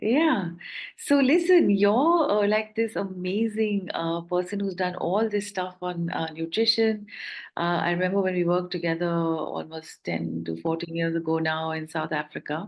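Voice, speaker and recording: In an unremarkable speaking voice, a woman with fairly low pitch talks at a moderate pace with ordinary pitch variation. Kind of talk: interview questions.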